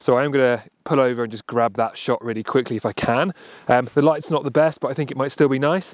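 Talking at a very fast pace, a man is heard over a quiet background. The sound is dry, with no echo. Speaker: travel photographer vlogger. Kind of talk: casual vlog chat. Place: open country. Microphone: phone near.

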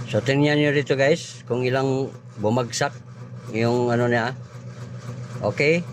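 At a fairly slow pace, a man speaks at medium pitch with fairly even intonation and very even loudness. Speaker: vlogger doing electronics repair. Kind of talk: repair tutorial. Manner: casual, halting with fillers.

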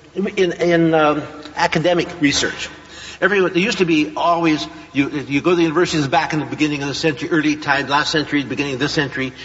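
A man speaks very fast with very even loudness and fairly even intonation. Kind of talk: lecture. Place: hall.

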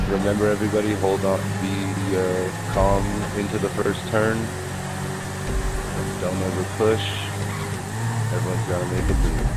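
At a moderate pace and with long, frequent pauses, a man speaks over music in the background. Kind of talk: instructions to players over voice chat.

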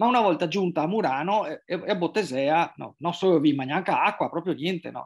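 A man with a high pitch and ordinary pitch variation talks at a fairly quick pace with hardly any pauses, against a quiet background. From Venice, Italy; Italy. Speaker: journalist and writer; journalist. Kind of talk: interview. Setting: remote video call. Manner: halting, many repetitions and fillers. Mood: calm, reflective. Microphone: video call.

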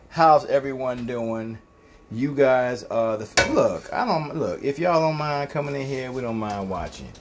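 There is noticeable background noise as a man talks. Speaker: home cook hosting a livestream. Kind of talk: casual cooking livestream chat. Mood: relaxed, laughing. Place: kitchen. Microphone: phone near.

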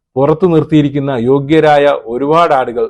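A man speaks in an ordinary speaking voice. His pitch is fairly high, with ordinary variation. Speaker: YouTube news commentator. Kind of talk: video commentary.

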